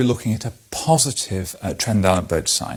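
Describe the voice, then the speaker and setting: A man speaks at a moderate pace in a calm tone. His voice is somewhat breathy. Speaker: clinical examiner or medical educator demonstrating a hip examination. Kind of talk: clinical teaching demonstration. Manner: calm, explanatory.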